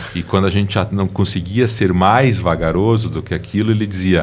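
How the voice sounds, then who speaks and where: There is noticeable background noise behind a man's voice. His pitch is fairly low, with ordinary pitch variation. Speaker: lawyer. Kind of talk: interview. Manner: slow.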